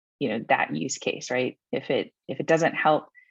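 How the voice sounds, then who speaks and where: A woman's voice, dry with no echo, over a quiet background. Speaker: solutions engineer presenting software demo; webinar presenter. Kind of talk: webinar presentation. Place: home room. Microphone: webcam.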